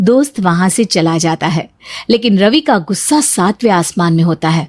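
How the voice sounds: Spoken at a moderate pace with lively intonation, the voice has a slightly mellow tone and a dry, close sound with no echo. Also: woman, fairly low pitch for a woman.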